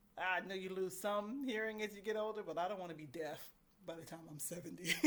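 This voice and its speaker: A woman races along at a very fast pace, medium in pitch with ordinary pitch variation, amid audible room echo. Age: 50s. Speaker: vlogger. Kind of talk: casual chat.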